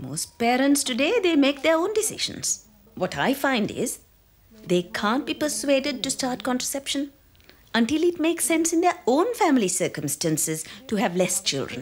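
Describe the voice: A woman speaks at a high pitch with big pitch swings and a moderate pace.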